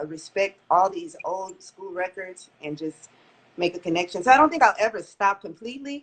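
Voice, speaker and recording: A woman with a normal speaking voice talks in an American accent at medium pitch and a moderate pace, with lively intonation and big swings in loudness. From Texas, Port Arthur. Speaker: lead singer of a funk band. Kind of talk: radio interview.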